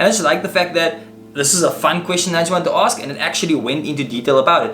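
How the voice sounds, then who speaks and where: With a high pitch and an animated tone, a man speaks amid noticeable background noise and audible room echo. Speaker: tech YouTuber. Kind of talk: tutorial. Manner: fast.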